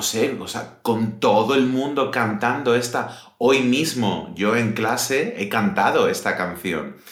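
There is audible room echo. A man speaks at a medium pitch. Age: 30s. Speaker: podcast host, Spanish teacher. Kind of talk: casual chat for language learners. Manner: slower than usual pace.

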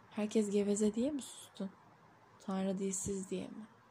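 A dark, mellow tone with a somewhat breathy edge. The pace is very slow. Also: woman. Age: 30s. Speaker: poet. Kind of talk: reading aloud.

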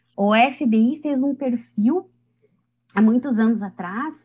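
A woman's high voice with ordinary pitch variation. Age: 30s. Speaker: lawyer and animal-rights advocate. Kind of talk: casual chat.

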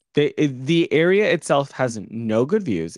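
Over a quiet background, a man talks fairly slowly in a plain, everyday voice, fairly high in pitch. The sound is dry and close, with no echo. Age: 20s. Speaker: podcast co-host. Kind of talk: casual chat. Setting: video recording with camera.

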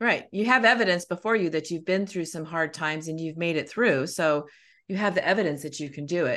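Over a quiet background, a woman talks fairly quickly in an ordinary speaking voice. Her pitch is fairly low, with ordinary pitch variation. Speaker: podcast host. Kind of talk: casual chat.

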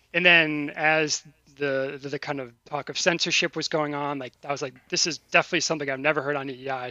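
At a very fast pace, a man with a fairly high pitch speaks in a monotone, flat way, his loudness swinging widely. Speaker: podcast guest and fan caller. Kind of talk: casual chat.

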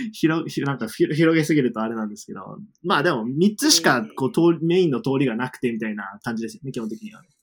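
A man with a medium-pitched voice speaks at a fairly quick pace with very wide pitch swings and hardly any pauses. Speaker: former university student in the UK. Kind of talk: casual interview chat. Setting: online call.

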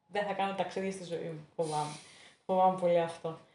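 A woman's dark, mellow tone with fairly even intonation at a moderate pace, with audible room echo. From Thessaloniki, Greece. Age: 20s. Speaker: interview guest, accounting graduate. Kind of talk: casual interview. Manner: hesitant, many fillers.

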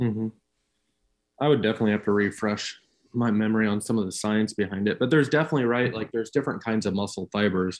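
In a very clean recording with a silent background, a man with an American accent uses a normal speaking voice, fairly low in pitch, with fairly even intonation. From US Midwest, central Illinois. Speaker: nurse. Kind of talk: casual chat.

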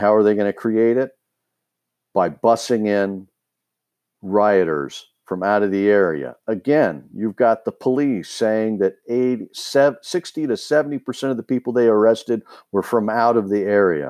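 Over a quiet background with a dry, close sound and no echo, a man with an American accent speaks fairly slowly at a fairly low pitch, using lively intonation. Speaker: podcast host. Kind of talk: angry political rant, urgent warning to listeners. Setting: recorded solo podcast. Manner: urgent, alarmed, fearful and insistent; rambling, halting with many filler words.

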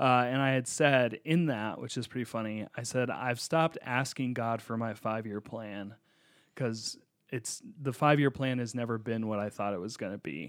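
A man's medium-pitched, unremarkable speaking voice at a moderate pace, with ordinary pitch variation. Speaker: podcast co-host and pastor. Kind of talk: casual chat.

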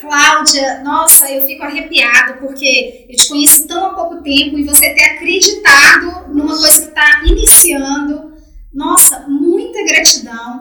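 With hardly any pauses, a woman at a high pitch speaks in a raised, projected voice with big swings in loudness over noticeable background noise. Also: ordinary pitch variation, fairly slow pace. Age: 40s. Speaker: podcast host and dance teacher. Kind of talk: casual chat.

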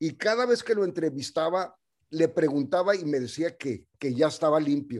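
With a normal speaking voice, a man talks at a moderate pace in a fairly high pitch with lively intonation. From US-Mexico border, El Paso / Ciudad Juárez. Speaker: radio programmer and community activist. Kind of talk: casual interview.

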